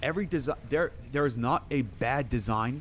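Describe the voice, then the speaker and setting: Speaking at a medium pitch, a man uses lively intonation with some vocal fry. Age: 30s. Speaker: game streamer. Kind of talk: live stream commentary. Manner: animated.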